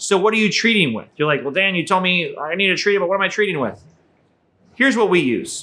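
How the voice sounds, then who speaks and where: Speaking at a very fast pace, a man uses a raised, projected voice with a bright, sharp tone, high pitch and lively intonation. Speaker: aquarium hobby video host. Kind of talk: tutorial. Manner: casual, conversational; stuttering at times.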